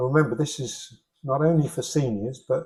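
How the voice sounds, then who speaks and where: A man with a British accent talks at a fairly quick pace and medium pitch. His voice is somewhat breathy, with a dark, mellow tone. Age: 60s. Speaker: fitness instructor. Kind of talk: exercise class instruction. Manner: encouraging, instructive.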